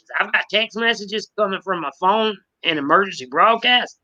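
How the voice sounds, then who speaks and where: A fairly quick delivery in a Southern accent. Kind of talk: casual chat. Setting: live stream.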